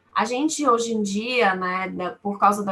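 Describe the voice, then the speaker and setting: A woman speaks with a Bahian accent at a medium pitch. Her pitch varies in an ordinary way. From Brazil, Salvador (Bahia). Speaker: lawyer. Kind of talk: webinar talk. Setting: webinar.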